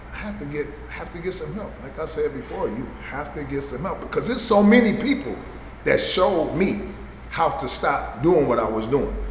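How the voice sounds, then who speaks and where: Noticeable background noise sits behind a man talking at a moderate pace. His loudness swings widely. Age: 60s. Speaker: person in addiction recovery. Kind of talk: interview answer.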